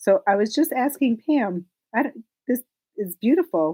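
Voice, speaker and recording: Lively intonation in a dark, mellow tone. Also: woman, dry, close sound with no echo. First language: Hebrew. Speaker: knitting shop owner and podcast host. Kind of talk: casual chat.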